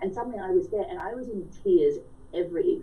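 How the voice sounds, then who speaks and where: A woman talks with an Australian accent, with audible room echo. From rural Australia. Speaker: author. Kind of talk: radio interview. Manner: animated.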